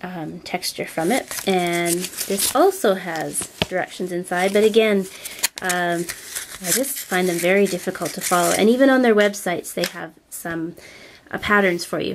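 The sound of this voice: Her voice is nasal and fairly low-pitched, and the woman speaks at a fairly slow pace with ordinary pitch variation.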